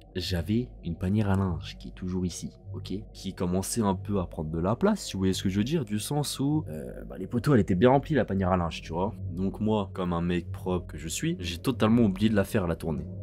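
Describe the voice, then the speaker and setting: A man with a very deep, low pitch talks at a fairly quick pace with hardly any pauses. His intonation is lively. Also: big swings in loudness. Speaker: YouTuber. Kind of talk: storytime. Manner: calmer voice than usual; halting, many fillers.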